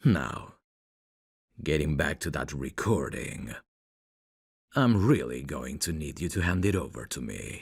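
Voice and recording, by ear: In a put-on character voice, a man speaks at an extremely low pitch with big pitch swings, a slightly husky edge, a fairly slow pace and long, frequent pauses, on a very clean recording with a silent background.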